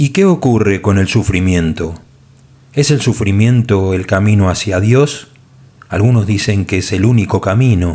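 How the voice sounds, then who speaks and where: A man with a Latin American accent speaks fairly slowly. His pitch is fairly low, and there is noticeable background noise. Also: ordinary pitch variation. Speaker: audiobook narrator. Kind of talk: audiobook narration. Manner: shifts tone between author and God voices.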